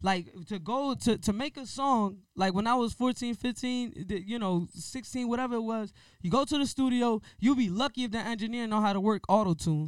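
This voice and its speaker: Recorded very cleanly against a silent background, the voice moves at a moderate pace with hardly any pauses and ordinary pitch variation. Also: man, extremely high pitch for a man. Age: 20s. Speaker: rapper and podcast co-host. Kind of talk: casual chat.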